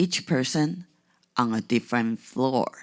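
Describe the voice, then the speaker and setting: Someone with a non-native accent talks at a very slow pace in a very clean recording with a silent background. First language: not English. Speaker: podcast host. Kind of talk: reflective podcast monologue.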